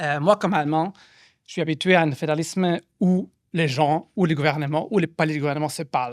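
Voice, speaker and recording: The pace here is fairly quick from a man with a fairly high pitch. He shows ordinary pitch variation. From Germany. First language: German (speaking French). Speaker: postdoctoral researcher and panel moderator. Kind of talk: event moderation introduction. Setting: public event with audience in a room. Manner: halting, many hesitations.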